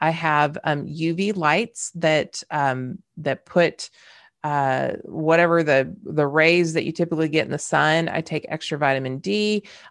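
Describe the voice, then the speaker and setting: At a fairly slow pace, the speaker uses ordinary pitch variation and a slight Southern US accent. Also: woman, quiet background. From California. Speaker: podcast host, leadership coach. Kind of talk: solo podcast monologue, conversational.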